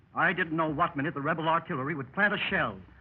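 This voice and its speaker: A very fast male voice, fairly high in pitch, with vocal fry. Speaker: radio actor in a 1930s radio anthology. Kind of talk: old-time radio drama, club member telling his adventure as a first-person story. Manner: storytelling, conversational.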